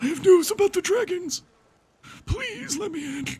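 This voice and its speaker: This put-on character voice has an extremely high pitch. The pace is moderate. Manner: panting, urgent, pleading.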